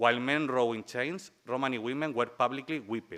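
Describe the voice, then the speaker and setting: This man has a strong Spanish accent and a medium pitch, with a bright, sharp tone. He talks at a moderate pace with ordinary pitch variation. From Spain. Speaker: human rights lawyer and researcher. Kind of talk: conference talk. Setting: conference panel with audience.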